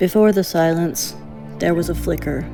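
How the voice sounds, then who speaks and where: Music plays behind a woman with an American accent who speaks at a fairly slow pace. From Tennessee. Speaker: narrator. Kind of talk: audiobook-style story narration.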